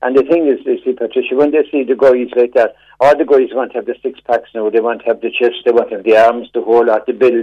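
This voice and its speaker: A man with a Cork accent talks at a very fast pace. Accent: Cork Irish. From Cork, Ireland. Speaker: caller. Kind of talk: radio call-in. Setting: phone call. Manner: animated.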